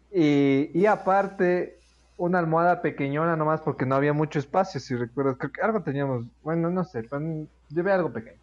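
A man with an unremarkable speaking voice talks at a moderate pace and a fairly high pitch, with ordinary pitch variation, over a quiet background. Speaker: podcast host. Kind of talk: casual chat.

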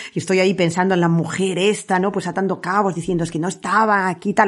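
An ordinary speaking voice with fairly even intonation moves at a fairly quick pace over a quiet background. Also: woman. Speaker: podcast host. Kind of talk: casual chat.

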